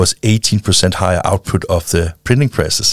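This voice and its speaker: A fairly quick voice with a Danish accent, dry and close with no echo. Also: man. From Denmark. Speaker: founder of a printing-industry film channel. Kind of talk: interview. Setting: studio.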